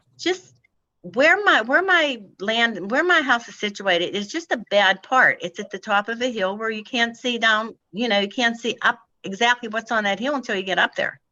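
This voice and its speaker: A woman with a plain, everyday voice speaks at a moderate pace, her fairly high pitch moving in lively intonation. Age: 60s. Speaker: applicant at zoning hearing. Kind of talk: public hearing testimony.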